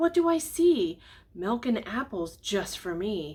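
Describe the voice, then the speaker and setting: A woman puts on a squeaky character voice with a fairly high pitch. She speaks at a fairly slow pace, her pitch swinging very widely. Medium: read story. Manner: eager, sing-song.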